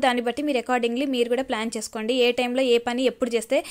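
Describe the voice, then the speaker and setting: In a very clean recording with a silent background, a woman speaks in a flat monotone at a high pitch. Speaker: YouTuber and exam aspirant. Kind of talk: casual vlog voice-over. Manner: loud.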